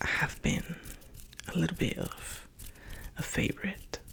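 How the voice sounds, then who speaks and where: A man whispers in a gentle tone at a very slow pace. Noticeable background noise can be heard. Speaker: ASMR creator. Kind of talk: ASMR whispered talk. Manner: soft whisper-talking; slow, gentle.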